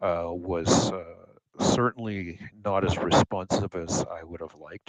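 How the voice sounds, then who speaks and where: A man with a Canadian accent and a very deep, low voice speaks in a monotone, flat way, the sound dry and close with no echo. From Canada, eastern Ontario. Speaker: glider pilot. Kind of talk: casual chat. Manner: halting.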